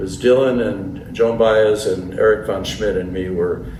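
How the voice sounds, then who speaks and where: Background noise is noticeable. Room echo can be heard too. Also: man. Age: 80s+. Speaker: folk musician and novelist. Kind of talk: interview. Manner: halting, repeats words.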